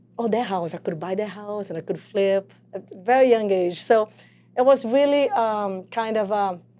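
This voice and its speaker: With a Portuguese accent, a woman speaks at a moderate pace in a medium pitch with a dark, mellow tone. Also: ordinary pitch variation. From Brazil. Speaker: real estate coach. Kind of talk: podcast interview. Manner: animated.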